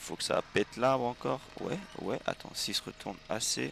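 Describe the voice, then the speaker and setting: Keeping a moderate pace, a man talks while noticeable background noise carries on. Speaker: gaming streamer. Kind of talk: live gameplay commentary. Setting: livestream. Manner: animated.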